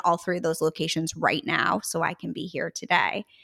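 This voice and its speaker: A woman's voice in a very clean recording with a silent background, dry and close with no echo. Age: 40s. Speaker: art studio founder and business owner. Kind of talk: casual interview chat.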